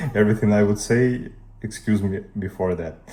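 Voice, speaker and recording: Over music in the background, a man with a Russian accent speaks at a fairly low pitch with fairly even intonation. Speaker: tech youtuber. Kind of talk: tutorial.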